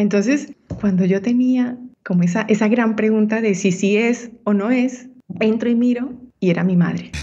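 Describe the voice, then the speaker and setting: Somewhat breathy and fairly high-pitched, a woman keeps a moderate pace, very even loudness and fairly even intonation. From Colombia, Ibagué (Andean region). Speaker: women's entrepreneurship mentor. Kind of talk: interview.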